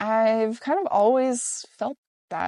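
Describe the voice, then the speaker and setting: Speaking very slowly with a Virginia accent, a woman has a dark, mellow tone and ordinary pitch variation, recorded with a dry, close sound and no echo. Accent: American, Virginia. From Richmond, Virginia, USA. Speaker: solo traveler and long-distance hiker. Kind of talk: interview answer. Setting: Nelson, New Zealand. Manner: reflective.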